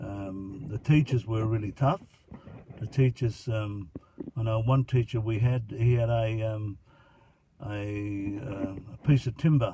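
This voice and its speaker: With an Australian accent, a man speaks at a medium pitch and fairly even intonation. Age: 70s. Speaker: grandfather interviewed by grandson. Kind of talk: casual interview. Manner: halting, many fillers.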